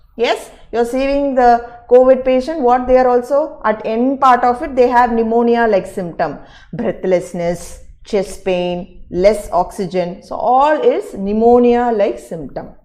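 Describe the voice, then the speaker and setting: With audible room echo, a woman speaks at high pitch in a dark, mellow tone with lively intonation. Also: fairly slow pace. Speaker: teacher. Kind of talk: online lecture. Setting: live online class. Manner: slow.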